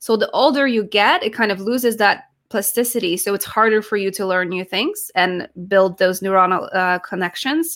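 A woman talks at a moderate pace in a bright, sharp tone. Her pitch varies in an ordinary way. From Poland, then New York from age 15. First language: Polish. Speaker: speech-language pathologist and accent coach. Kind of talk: interview. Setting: video call.

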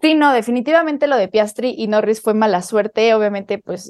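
A woman speaks with a dark, mellow tone, a fairly high pitch and ordinary pitch variation. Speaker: motorsport podcast co-host. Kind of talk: casual chat. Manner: animated.

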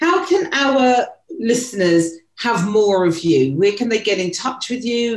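A woman with a British accent, fairly high pitch and very wide pitch swings. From UK. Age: 50s. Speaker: podcast co-host. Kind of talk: personal storytelling.

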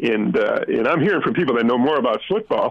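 A man in a normal speaking voice, with lively intonation at a moderate pace. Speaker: caller. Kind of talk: casual chat. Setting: phone call.

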